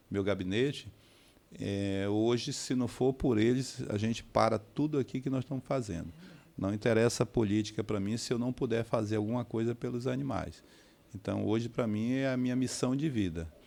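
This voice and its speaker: A man at medium pitch with a dark, mellow tone, ordinary pitch variation and a moderate pace, in a very clean recording with a silent background. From Manaus, Brazil. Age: 60s. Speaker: city councillor. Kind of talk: interview. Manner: halting, with frequent fillers.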